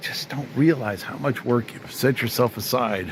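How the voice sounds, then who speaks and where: Medium pitch from a male speaker, ordinary pitch variation, and noticeable background noise throughout. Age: 60s. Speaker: retired car restoration hobbyist. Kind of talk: casual workshop vlog. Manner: animated.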